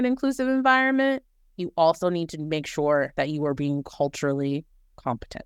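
In a very clean recording with a silent background, a woman with an American accent speaks with very wide pitch swings. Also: dry, close sound with no echo. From New Orleans, US South. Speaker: corporate communications manager. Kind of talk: interview.

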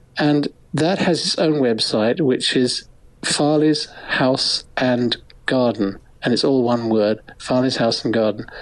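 A man's medium-pitched voice with an English accent, at a fairly slow pace with very even loudness and ordinary pitch variation, over noticeable background noise. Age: 70s. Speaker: photographer and author. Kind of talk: interview.

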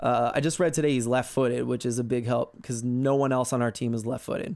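A plain, everyday voice from a man, medium in pitch with fairly even intonation. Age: 30s. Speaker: soccer podcaster. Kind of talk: casual chat.

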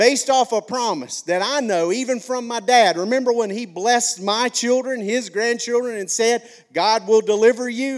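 With a slight Alabama accent, this animated speaker moves at a moderate pace with hardly any pauses. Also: man, extremely high pitch for a man. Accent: slight Alabama Southern. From McCalla, Alabama (US South). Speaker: pastor. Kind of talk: sermon.

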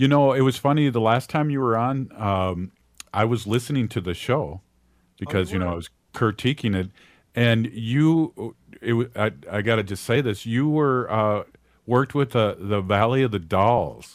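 In a Minnesotan accent, a man talks at a medium pitch. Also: ordinary pitch variation, moderate pace. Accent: Minnesota. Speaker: radio host. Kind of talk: casual radio chat. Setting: radio studio.

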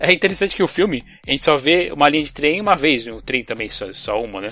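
The speaker moves at a fairly quick pace with very wide pitch swings. Music plays in the background. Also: man. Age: 30s. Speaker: podcast host. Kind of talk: casual chat. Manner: halting.

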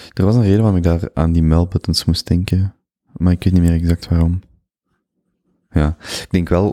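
A dark, mellow voice in a Flemish accent, at a moderate pace with long, frequent pauses, fairly even intonation and a dry, close sound with no echo. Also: man, very deep, low pitch for a man. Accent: Flemish Dutch. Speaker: podcast host. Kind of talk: interview conversation.

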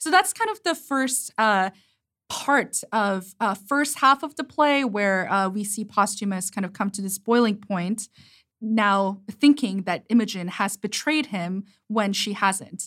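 With a Korean accent, a woman talks at medium pitch with ordinary pitch variation on a very clean recording with a silent background. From South Korea. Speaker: theatre director. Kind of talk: casual conversation.

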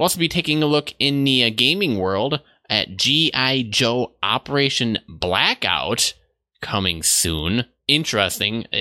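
In a very clean recording with a silent background, the speaker talks at a fairly slow pace. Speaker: tech news podcast host. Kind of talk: solo tech news show. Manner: off the cuff, goofy.

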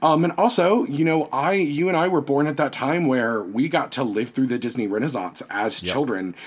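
A man's fairly high voice with an American accent, vocal fry, very wide pitch swings and a moderate pace. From US South, Virginia. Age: 30s. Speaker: podcaster and costume designer. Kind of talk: casual interview chat.

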